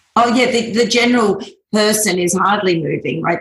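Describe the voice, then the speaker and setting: Her voice somewhat breathy, a woman speaks with ordinary pitch variation. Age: 40s. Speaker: fitness business owner. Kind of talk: interview.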